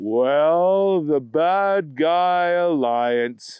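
Fairly high for a male, a man's put-on character voice. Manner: slow, monotone, droning.

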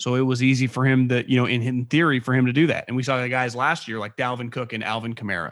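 The recording is very clean with a silent background. Speech comes at a very fast pace with hardly any pauses. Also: man, medium pitch for a man. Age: 30s. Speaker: former NFL scout and podcaster. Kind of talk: casual interview.

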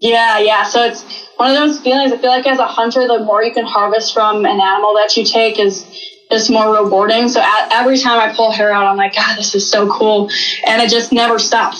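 A woman talks at a fairly quick pace in an American accent. Noticeable background noise can be heard. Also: very even loudness. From Wisconsin. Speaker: hunter. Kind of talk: casual chat.

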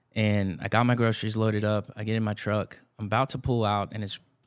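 With a Texan accent, a man talks at a fairly quick pace in monotone, flat intonation. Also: very clean recording, silent background. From Texas Hill Country (Blanco). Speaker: youth ministry director. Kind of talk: casual interview chat.

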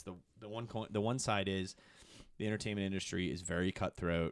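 An animated man is heard in a dry, close sound with no echo. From Michigan, US. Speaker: comedy TV producer. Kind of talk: casual interview. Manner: talkative.

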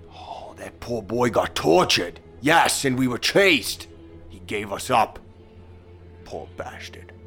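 Putting on a character voice over clear music in the background, a man at medium pitch moves at a fairly slow pace with long, frequent pauses, very wide pitch swings, and big swings in loudness. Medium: actual play. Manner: theatrical, old-fashioned diction.

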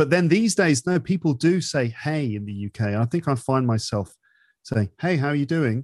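A man with a slight London accent speaks at a moderate pace and a fairly high pitch. The sound is dry and close with no echo, set against a quiet background. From London, England. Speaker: English teacher and podcaster. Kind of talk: casual interview chat.

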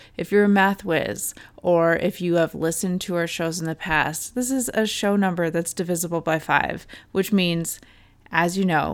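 The speaker is a woman with a fairly low pitch. Hers is an unremarkable speaking voice. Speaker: podcast host. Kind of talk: casual chat.

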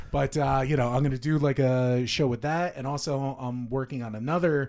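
In a quiet background, a man with an unremarkable speaking voice speaks at a medium pitch with fairly even intonation. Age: 30s. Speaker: professional wrestler and toy business owner. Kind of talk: casual chat.

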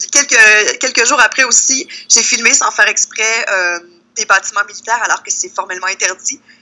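A woman with a Quebec accent speaks at a moderate pace, her fairly high voice moving with ordinary pitch variation. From Quebec, Lac-Saint-Jean (Saint-Félicien). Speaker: travel columnist and blogger. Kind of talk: casual interview.

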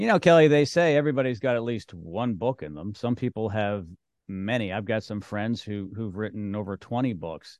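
A man talks at a fairly quick pace with a fairly low pitch and lively intonation, in an ordinary speaking voice. The background is quiet. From Canada. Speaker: podcast host. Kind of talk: casual interview.

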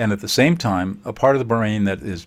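A man with an American accent. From Southern California, US. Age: 70s. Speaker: conflict mediator and author. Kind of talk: podcast interview. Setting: remote call.

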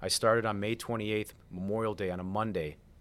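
Speaking at a fairly quick pace, a man uses a fairly low voice with fairly even intonation. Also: very clean recording, silent background. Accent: American. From Chicago. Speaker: mortgage loan originator and coach. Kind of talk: podcast interview.

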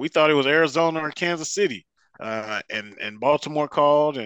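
In a very clean recording with a silent background and a dry, close sound with no echo, a man with an American accent uses an ordinary speaking voice at a fairly high pitch. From Detroit, Michigan. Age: 40s. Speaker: football fan, uncle of an NFL player. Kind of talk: casual chat.

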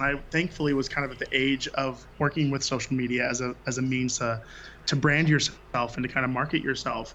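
A man is speaking at a fairly quick pace. His pitch is fairly high. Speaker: floral and wedding designer. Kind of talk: casual chat. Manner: animated, exuberant.

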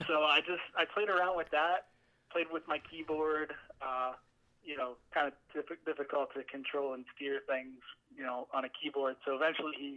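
In a fairly high pitch, a man speaks with fairly even intonation and an ordinary speaking voice. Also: moderate pace. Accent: American. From Allentown, Pennsylvania. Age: 20s. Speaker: sim racing website co-founder. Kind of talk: interview.

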